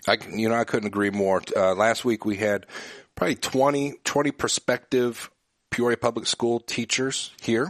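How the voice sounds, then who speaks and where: This man has a normal speaking voice, medium in pitch, with fairly even intonation at a moderate pace. The sound is dry and close with no echo, and his loudness stays very even. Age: 40s. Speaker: business association head and radio host. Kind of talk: interview.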